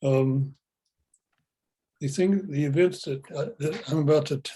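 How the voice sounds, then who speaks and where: Somewhat breathy and dark, mellow in tone, a man with an American accent speaks at a moderate pace and a fairly high pitch. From Oklahoma, US. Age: 80s+. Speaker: retired engineer sharing spiritual experience. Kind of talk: testimony.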